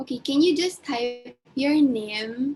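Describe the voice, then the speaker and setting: A woman speaking at a very slow pace over music in the background. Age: 20s. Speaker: webinar host. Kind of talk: casual chat.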